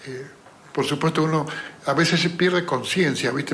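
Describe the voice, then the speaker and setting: With audible room echo and noticeable background noise, a man speaks at a fairly quick pace in a high pitch, his intonation fairly even. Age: 70s. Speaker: retiree. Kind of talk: interview. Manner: halting.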